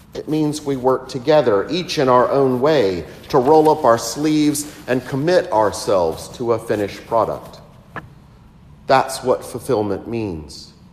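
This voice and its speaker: Over light background noise, a man speaks at a fairly slow pace with ordinary pitch variation. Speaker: priest. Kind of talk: sermon. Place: church.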